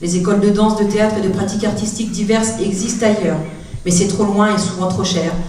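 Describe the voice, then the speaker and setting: Amid noticeable background noise and audible room echo, a woman at medium pitch talks at a very fast pace. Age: 40s. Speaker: youth outreach worker and activist. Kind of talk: prepared public speech.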